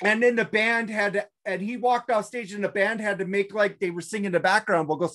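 The background stays quiet. A woman talks over it. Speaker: podcast co-host. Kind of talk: casual podcast chat. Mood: amused, laughing. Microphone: video call.

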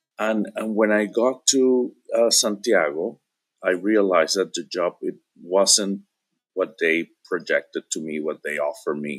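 A man with a Spanish accent at a fairly slow pace, against a quiet background. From Venezuela. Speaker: interview guest. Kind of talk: casual chat. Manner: halting, many repetitions. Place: home room. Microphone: video call.

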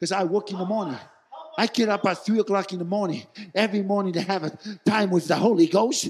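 The man's voice is high with a slightly husky edge. He talks fast, with ordinary pitch variation.

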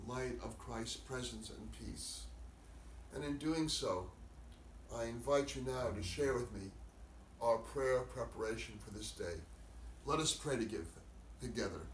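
A man speaks fairly slowly with long, frequent pauses, in audible room echo over light background noise. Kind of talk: sermon. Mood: calm, solemn, slow. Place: home room. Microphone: camera far.

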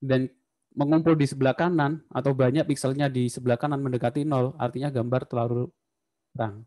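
Against a quiet background, a man speaks at a fairly quick pace in a medium pitch, with a dark, mellow tone and fairly even intonation. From Indonesia. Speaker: university lecturer. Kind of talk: lecture. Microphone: video call.

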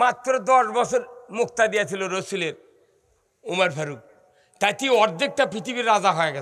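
High-pitched male speech full of lively intonation. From Bangladesh. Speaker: Islamic preacher. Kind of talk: sermon. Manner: animated. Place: stage. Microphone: podium.

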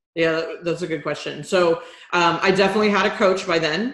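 Speaking at a moderate pace with an American accent, a woman with a fairly low pitch is heard amid audible room echo. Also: quiet background. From Texas, Houston. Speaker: business strategist; business coach, interview guest. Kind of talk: interview. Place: home room. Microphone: webcam.

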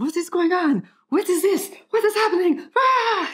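In a put-on, squeaky character voice with a French accent, someone shouts at an extremely high pitch and a moderate pace. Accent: bad French. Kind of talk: tutorial. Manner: freaking out, yelling.

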